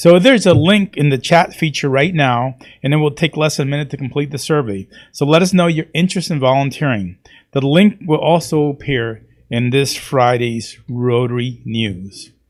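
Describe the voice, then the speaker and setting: A moderate pace paired with lively intonation. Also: man, fairly high pitch for a man. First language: not English. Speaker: club president. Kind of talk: meeting announcements.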